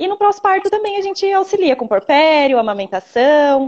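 A woman speaks at a moderate pace in a high pitch with very wide pitch swings. The sound is dry and close, with no echo. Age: 20s. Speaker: doula. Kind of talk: live-stream interview.

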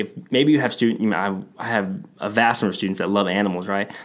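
With an American accent, a man talks at a fairly quick pace in a plain, everyday voice pitched fairly low. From Texas. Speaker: educational technology podcast co-host, former teacher. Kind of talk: casual chat.

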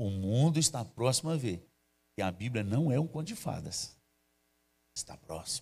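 A man's medium-pitched voice at a moderate pace, somewhat breathy, with very wide pitch swings and long, frequent pauses. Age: 50s. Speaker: pastor. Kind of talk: sermon. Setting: church livestream.

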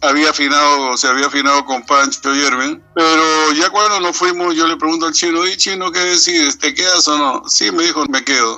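Noticeable background noise sits behind the voice. A man speaks with ordinary pitch variation. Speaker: veteran punk singer. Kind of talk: interview.

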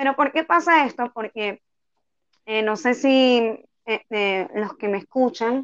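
A woman speaks fairly slowly in a normal speaking voice. Her pitch sits fairly high with ordinary variation. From Venezuela, Tucupita. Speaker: street singer. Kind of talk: interview.

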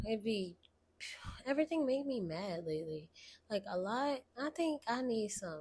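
At a fairly high pitch, a woman speaks in an animated tone with very wide pitch swings, somewhat breathy, at a moderate pace with long, frequent pauses. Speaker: podcast host. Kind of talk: casual solo chat. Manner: casual, animated, slangy.

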